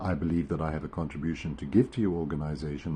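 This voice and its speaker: Very deep and low in pitch, this man's voice has a dark, mellow tone. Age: 70s. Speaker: retired airline pilot. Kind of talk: self-introduction video for a job application. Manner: halting.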